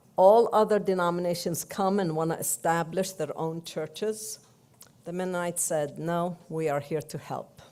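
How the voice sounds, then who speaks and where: A woman with a Palestinian accent is speaking. Her tone is dark and mellow, and her pitch is fairly low. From Palestine, Jerusalem. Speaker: church delegate. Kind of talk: speech.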